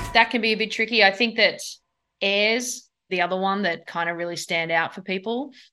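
In an Australian accent, a woman speaks with a bright, sharp tone and ordinary pitch variation over a quiet background. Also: medium pitch for a woman, moderate pace. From Australia, Sydney. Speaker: surfing league executive and former pro surfer. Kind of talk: interview.

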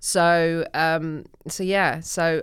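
This woman has a very deep, low pitch and speaks with an English accent. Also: very clean recording, silent background. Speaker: comedian. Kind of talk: casual chat.

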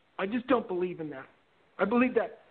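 His intonation is lively. The man's voice is high-pitched. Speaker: caller. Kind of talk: casual chat. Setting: phone call.

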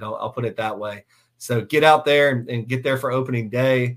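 Speaking in an American accent, a man at a medium pitch keeps a monotone, flat intonation and a fairly quick pace. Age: 30s. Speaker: sports podcast host. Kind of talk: casual sports talk show. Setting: live YouTube stream. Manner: frequent fillers and repetitions.

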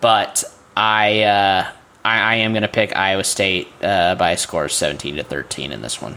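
Noticeable background noise sits behind a man speaking at a fairly low pitch with ordinary pitch variation. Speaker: podcast co-host, sports commentator. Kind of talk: casual sports talk podcast.

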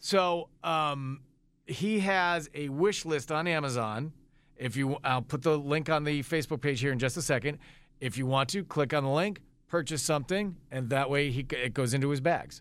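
The man has a normal speaking voice at a fairly high pitch, with ordinary pitch variation. It's a very clean recording with a silent background. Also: moderate pace. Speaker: radio host. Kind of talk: casual banter on a radio morning show. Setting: studio.

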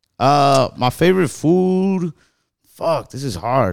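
An American accent comes through on a very clean recording with a silent background, the sound dry and close with no echo. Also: man. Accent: Mexican American. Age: 20s. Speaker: comedian. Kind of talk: casual chat.

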